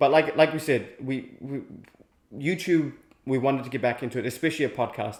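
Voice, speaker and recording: A man speaks with a fairly high pitch. His intonation is fairly even. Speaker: podcast co-host. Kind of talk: casual chat. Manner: loud.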